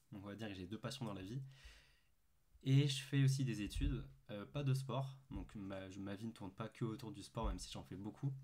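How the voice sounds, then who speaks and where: A man's fairly low voice with a dark, mellow tone, lively intonation and a moderate pace. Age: 20s. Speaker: calisthenics youtuber and student. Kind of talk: casual facecam vlog. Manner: hesitant, many fillers.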